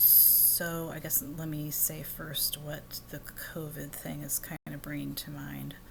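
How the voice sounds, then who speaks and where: A soft-spoken woman talks at a very slow pace with hardly any pauses. Audible room echo and noticeable background noise surround her voice. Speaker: vlogger. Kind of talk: casual monologue. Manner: soft-spoken, talking low; halting, many fillers.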